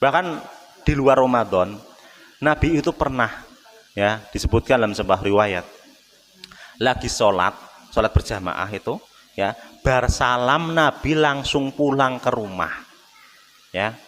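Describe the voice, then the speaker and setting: A man with a Javanese accent talks fairly slowly at a medium pitch, leaving long, frequent pauses. His intonation is lively, and there is noticeable background noise. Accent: Javanese, Solo-style eastern Javanese tinge. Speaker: Islamic preacher. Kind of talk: sermon. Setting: mosque. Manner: casual, mixing in Javanese.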